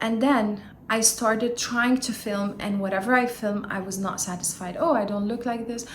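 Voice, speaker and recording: With a Lebanese accent, a woman talks at a moderate pace and a fairly high pitch with fairly even intonation, amid audible room echo and noticeable background noise. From Lebanon. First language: not English (English is third language). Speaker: YouTuber, self-help vlogger. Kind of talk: casual vlog monologue. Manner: occasional hesitations and fillers.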